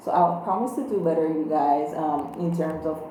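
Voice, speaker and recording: Over noticeable background noise and audible room echo, a woman with a very deep, low pitch speaks at a fairly slow pace. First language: Creole. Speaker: tarot reader. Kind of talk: tarot reading. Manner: casual, conversational with fillers.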